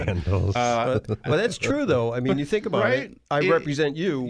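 Speaking in an East Coast American accent at a fairly slow pace, a man with a fairly high pitch makes very wide pitch swings and big swings in loudness. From East Coast of the US, born and raised. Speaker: local real estate appraiser, radio show guest. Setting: radio studio.

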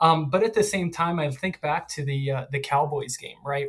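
A man with an American accent speaks in a somewhat breathy, fairly high voice. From Philadelphia. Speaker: football fan. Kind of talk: casual chat.

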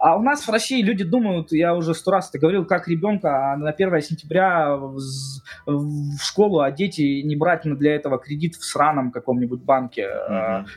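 Talking at a moderate pace with hardly any pauses, a man uses lively intonation at a fairly high pitch amid noticeable background noise. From Russia. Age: 30s. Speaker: blogger, programmer. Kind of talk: casual chat.

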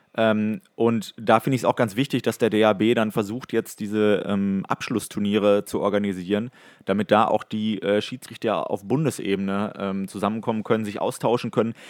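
A man talks in a fairly low pitch with monotone, flat intonation and hardly any pauses. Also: moderate pace, dry, close sound with no echo, very clean recording, silent background. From Ruhr area, Germany (Datteln). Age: 20s. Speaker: hockey referee. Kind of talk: casual chat.

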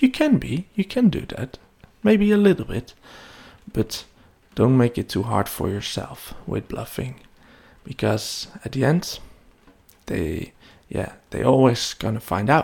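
Somewhat breathy, a man speaks fairly slowly at a medium pitch, with very wide pitch swings and long, frequent pauses. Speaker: web development podcaster. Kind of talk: solo podcast monologue. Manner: hesitant, many fillers.

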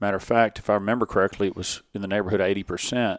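This man speaks with a Texas accent at a fairly low pitch, showing ordinary pitch variation. The sound is dry and close, with no echo. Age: 40s. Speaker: fishing guide. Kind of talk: casual chat. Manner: halting.

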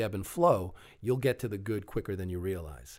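Somewhat breathy man's voice, very cleanly recorded against a silent background. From Long Island, New York. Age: 40s. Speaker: actor and TV referee. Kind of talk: casual chat.

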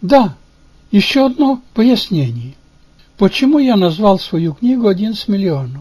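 A high-pitched man with a Ukrainian accent talks at a fairly slow pace, making very wide pitch swings and long, frequent pauses. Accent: Ukrainian-accented Russian. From Ukraine, Bukovina (Chernivtsi region). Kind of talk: reading aloud. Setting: home studio.

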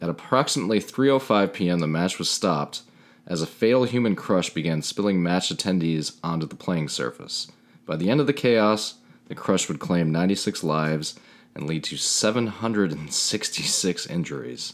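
A quiet man with a very deep, low pitch, lively intonation and a moderate pace, on a very clean recording with a silent background. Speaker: podcast co-host. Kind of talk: reading aloud; casual chat. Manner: quiet in narrator mode.

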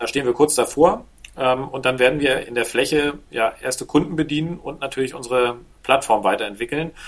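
This man talks at a fairly quick pace in an unremarkable speaking voice, his pitch varying in an ordinary way. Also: medium pitch for a man. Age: 40s. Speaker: business angel and entrepreneur. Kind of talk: interview conversation.

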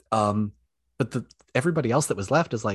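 In an unremarkable speaking voice, a man talks at a medium pitch and a fairly quick pace with lively intonation, the sound dry and close with no echo against a quiet background. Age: 20s. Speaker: former journalist and online creator. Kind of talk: casual chat.

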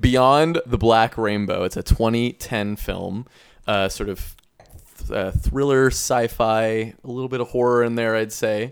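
A man talks at a fairly slow pace in an ordinary speaking voice. His pitch is medium and his intonation fairly even. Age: 20s. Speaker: podcast host. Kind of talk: casual chat.

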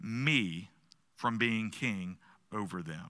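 Vocal fry runs through this man's bright, sharp tone. The recording is very clean, with a silent background. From US South. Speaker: pastor. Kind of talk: sermon. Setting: church.

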